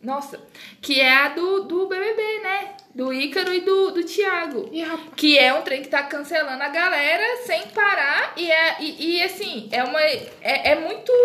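A woman projects a raised voice at an extremely high pitch, speaking at a fairly slow pace with lively intonation, amid audible room echo and noticeable background noise. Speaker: podcaster. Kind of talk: casual chat; reading aloud.

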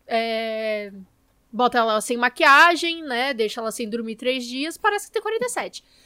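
With lively intonation, a raised, projected voice carries a bright, sharp tone. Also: woman. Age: 20s. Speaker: podcast host. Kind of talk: casual chat.

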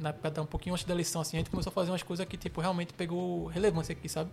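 Talking at a very fast pace, a man speaks with a high pitch. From Recife, Pernambuco, Brazil (Ibura). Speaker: brega funk page creator and administrator. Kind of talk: casual interview chat.

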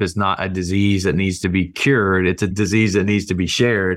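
Recorded very cleanly against a silent background, a man with an American accent speaks at a moderate pace in a normal speaking voice with a fairly low pitch. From US South, rural Alabama. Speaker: nonprofit CEO. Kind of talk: interview.

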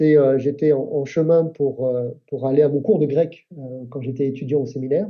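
A man speaks in a normal speaking voice, fairly high in pitch. His pace is fairly slow, with ordinary pitch variation. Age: 50s. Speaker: Baptist church leader. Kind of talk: casual chat.

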